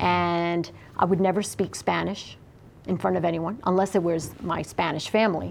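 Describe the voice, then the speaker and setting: A woman speaks in a fairly low pitch with vocal fry. Her intonation stays fairly even, her pace moderate and her loudness very even. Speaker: interviewee sharing experience. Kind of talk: interview testimony.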